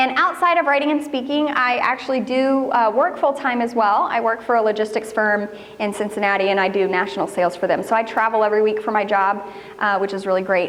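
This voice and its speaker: A woman's fairly high, lively voice with an American accent at a very fast pace, amid audible room echo and noticeable background noise. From northern Kentucky. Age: young. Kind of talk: talk at a women's church event. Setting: church hall with audience.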